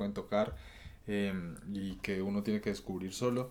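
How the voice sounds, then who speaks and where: At a moderate pace, a man speaks in a plain, everyday voice, fairly low-pitched with fairly even intonation. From Colombia. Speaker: podcast host. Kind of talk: casual chat.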